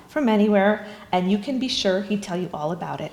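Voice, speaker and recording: Amid noticeable background noise and audible room echo, a woman talks at a fairly quick pace and medium pitch with ordinary pitch variation. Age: 60s. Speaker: bereaved daughter. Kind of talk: eulogy. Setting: funeral chapel service.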